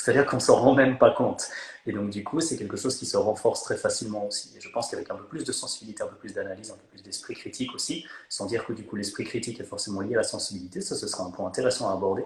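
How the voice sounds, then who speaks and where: A man at a very fast pace, with big swings in loudness, over noticeable background noise. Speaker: fitness coach and content creator. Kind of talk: casual chat. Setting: Instagram live video call. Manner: animated; hesitant, many fillers.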